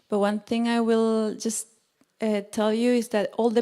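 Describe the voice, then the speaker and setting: A woman speaks at a moderate pace with a fairly high pitch. Her tone is dark and mellow. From Argentina. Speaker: yoga teacher. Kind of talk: talk to an audience. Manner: halting.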